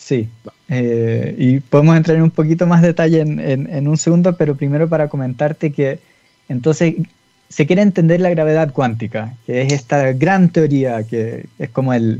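A man with a Chilean accent at a fairly high pitch, ordinary pitch variation and moderate pace, music playing in the background. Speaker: physicist. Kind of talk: interview.

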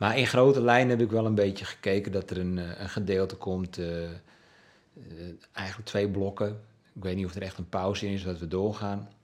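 A man with an unremarkable speaking voice and a fairly low pitch talks at a moderate pace with fairly even intonation and big swings in loudness. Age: 60s. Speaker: musician and journalist. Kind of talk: interview. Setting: at home.

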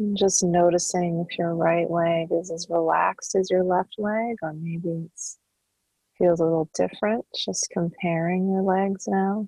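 The woman has a plain, everyday voice. Her pitch is fairly low, and her intonation fairly even. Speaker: meditation guide and intuitive counselor. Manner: slow, unhurried pacing with long flowing run-on sentences, lingering on each body part; soft, soothing and calming, coaxing the listener to melt and sink into relaxation.

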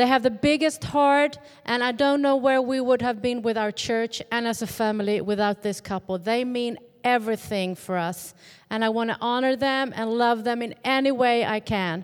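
Speaking with a Swedish accent, a woman uses a fairly high pitch. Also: ordinary pitch variation, moderate pace. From Sweden. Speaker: pastor's wife and journalist. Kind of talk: church greeting. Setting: church.

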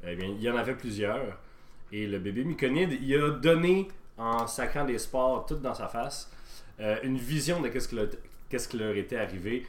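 With a Quebec accent, a man speaks at a moderate pace with a medium pitch and lively intonation in a room with audible echo. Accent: Québécois French. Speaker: podcast host and game master. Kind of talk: tabletop role-play narration.

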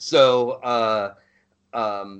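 Over a quiet background, a man with a medium-pitched voice talks in a plain, everyday voice. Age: 40s. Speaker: podcast host, Marine veteran. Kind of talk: casual chat.

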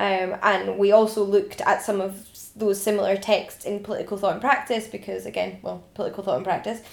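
Noticeable background noise is audible. The talking moves along at a fairly quick pace. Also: woman. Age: 20s. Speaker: podcast host and ancient history PhD student. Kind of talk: casual chat.

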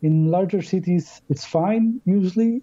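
A somewhat breathy man with a Polish accent speaks at a fairly slow pace with lively intonation. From Poland. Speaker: tour guide. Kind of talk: casual interview. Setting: phone call. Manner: halting.

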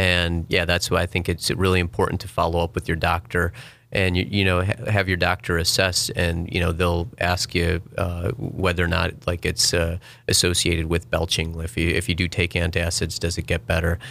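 Against a very clean, silent background, a man with a very deep, low voice and a bright, sharp tone speaks at a moderate pace in a monotone, flat way with very even loudness. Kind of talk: interview, medical explanation. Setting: studio. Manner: hesitant, filler-heavy, measured.

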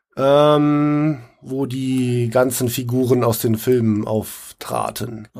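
A medium-pitched man at a very slow pace, with monotone, flat intonation. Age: 40s. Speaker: live role-play player. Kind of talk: casual interview. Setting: recorded on site at a live role-play event. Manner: hesitant, many fillers.

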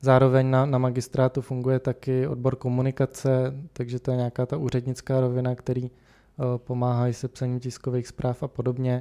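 A man's dark, mellow tone, monotone and flat, at a fairly quick pace, with a dry, close sound and no echo. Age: 20s. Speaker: city councillor. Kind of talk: interview. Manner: hesitant with fillers.

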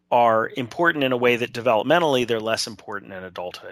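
A plain, everyday voice, with ordinary variation in pitch, comes through on a very clean recording against a silent background. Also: man. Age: 50s. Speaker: social work professor. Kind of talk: interview.

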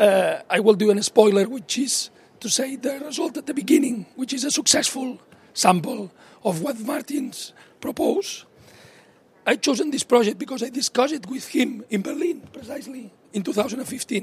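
Against noticeable background noise, a man talks at a moderate pace with an extremely high pitch. His pitch variation is ordinary, while his loudness swings widely. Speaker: conference speaker. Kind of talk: conference talk. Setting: conference.

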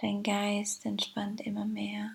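The speech comes at a very slow pace in a soothing, gentle tone. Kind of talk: guided meditation. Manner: slow, soothing and gentle, with calm pauses and repeated phrases; warm, inviting, addressing the listener as 'du'.

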